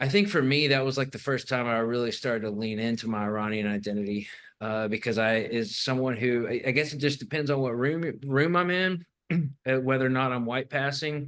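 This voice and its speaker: A man talks at a fairly quick pace with a Southern US accent. His pitch sits in the medium range. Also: ordinary pitch variation. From US South, Arkansas Ozarks. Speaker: documentary filmmaker. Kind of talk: casual chat. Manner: halting.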